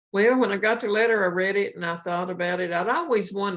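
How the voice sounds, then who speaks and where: A woman with an Appalachian accent and ordinary pitch variation. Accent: Appalachian Southern US. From Appalachia, Virginia coal country. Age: 70s. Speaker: cookbook author, county fair cook. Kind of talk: interview.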